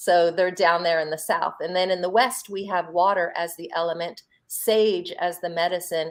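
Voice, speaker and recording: A woman with an American accent and an unremarkable speaking voice talks at a moderate pace in a fairly low pitch. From US Northeast, Philadelphia. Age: 50s. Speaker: holistic health practitioner. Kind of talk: interview on a live stream.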